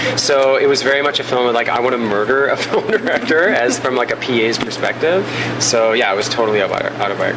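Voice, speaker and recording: At a very fast pace, a man speaks at medium pitch with lively intonation and very even loudness. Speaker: film director and screenwriter. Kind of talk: interview conversation. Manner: animated, enthusiastic.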